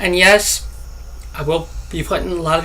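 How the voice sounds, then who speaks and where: Over noticeable background noise, a man talks in a room with audible echo. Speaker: gaming youtuber. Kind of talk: gameplay commentary. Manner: halting, stuttering.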